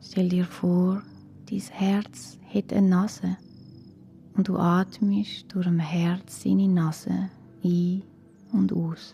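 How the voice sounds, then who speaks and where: The calm voice moves at a very slow pace with long, frequent pauses. Music plays in the background. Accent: Swiss. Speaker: meditation guide. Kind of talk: guided relaxation for children. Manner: calm, slow, soft-spoken.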